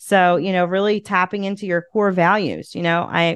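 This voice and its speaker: With a Philadelphia accent, a woman speaks at a fairly low pitch, the sound dry and close with no echo against a quiet background. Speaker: podcast host and community leader. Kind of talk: casual interview chat.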